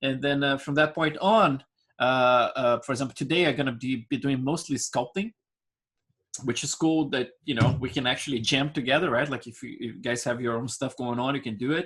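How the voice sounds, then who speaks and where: A man speaks at a medium pitch and a fairly quick pace. His intonation stays fairly even. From Brazil. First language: Portuguese. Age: 40s. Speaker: digital sculpting instructor. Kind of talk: live online class. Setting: screen-share online class. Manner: talkative, many fillers.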